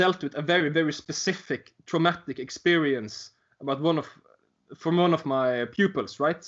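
A man speaks with a Norwegian accent at a high pitch and a moderate pace. His pitch varies in an ordinary way. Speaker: teacher. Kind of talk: interview. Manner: halting.

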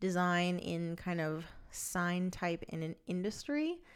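With a very clean recording and a silent background, a woman speaks fairly slowly in a normal speaking voice that sits fairly low. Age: 30s. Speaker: creative director and podcast co-host. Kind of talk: casual chat.

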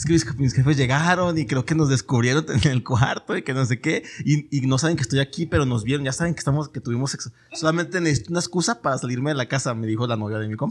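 A man with a Mexican accent talks at a very fast pace with hardly any pauses, his fairly high, somewhat breathy voice showing ordinary pitch variation. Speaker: podcast host. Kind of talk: casual chat. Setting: studio.

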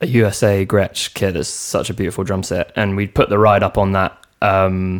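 With a London accent, a man talks at a moderate pace in a fairly low voice, his intonation fairly even. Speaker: drummer. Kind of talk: casual chat. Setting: in the host's home.

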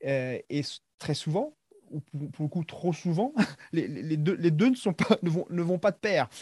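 Dark, mellow tone with lively intonation at a fairly quick pace, dry and close with no echo. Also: man. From Madagascar. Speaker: athlete and coach. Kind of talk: interview. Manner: halting.

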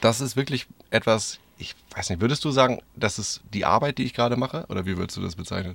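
This man talks very fast, his medium pitch showing ordinary variation. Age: 30s. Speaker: podcast host, van traveller. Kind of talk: casual chat. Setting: inside a camper van on a parking lot.

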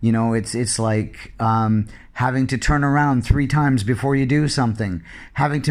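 A man speaks at a moderate pace with ordinary pitch variation, in an unremarkable speaking voice at a medium pitch. The recording is very clean, with a silent background. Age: 40s. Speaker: solo podcaster living abroad. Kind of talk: personal monologue.

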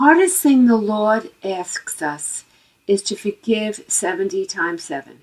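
A woman's fairly high voice with an American accent, very slow, with very wide pitch swings and big swings in loudness. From New York City. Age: 70s. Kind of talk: interview answers about faith.

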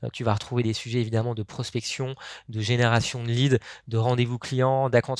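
A man at medium pitch speaks in a monotone, flat intonation on a very clean recording with a silent background. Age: 30s. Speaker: startup co-founder and sales trainer. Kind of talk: podcast interview.

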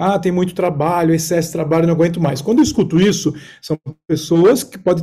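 A man speaks at a fairly quick pace. His voice is high-pitched with a dark, mellow tone. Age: 40s. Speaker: executive mentor and coach. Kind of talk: casual chat.

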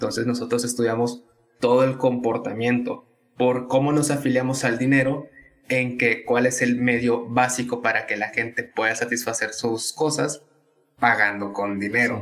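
The delivery moves at a moderate pace in a monotone, flat intonation. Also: man, medium pitch for a man. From Tabasco, Mexico. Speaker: economics student and content creator. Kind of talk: casual interview.

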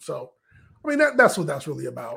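A man is speaking. His voice is somewhat breathy. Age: 50s. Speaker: wrestling podcast co-host. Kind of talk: casual chat.

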